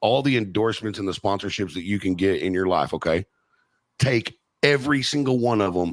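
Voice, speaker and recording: In a Texan accent, a man talks at a fairly quick pace with ordinary pitch variation, the sound dry and close with no echo. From Texas. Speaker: podcast host. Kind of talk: casual chat. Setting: studio.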